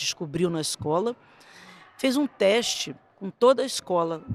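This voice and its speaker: Speaking at a medium pitch, a woman moves through very wide pitch swings. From Brazil, Rio de Janeiro. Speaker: gymnastics coach and judge. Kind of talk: interview storytelling.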